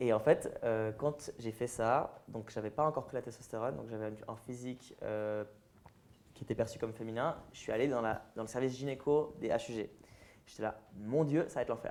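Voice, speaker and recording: A man with a plain, everyday voice talks at a medium pitch and a moderate pace, his intonation fairly even. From French-speaking Switzerland, near Lausanne. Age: 20s. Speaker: transgender activist and influencer. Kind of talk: public interview with audience Q&A.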